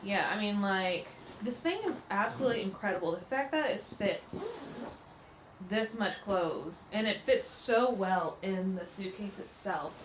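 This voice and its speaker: Amid noticeable background noise and audible room echo, a woman speaks at a fairly slow pace in a medium pitch. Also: ordinary pitch variation. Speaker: family travel vlogger. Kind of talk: casual packing tutorial vlog. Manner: casual, chatty with fillers; quiet, hushed.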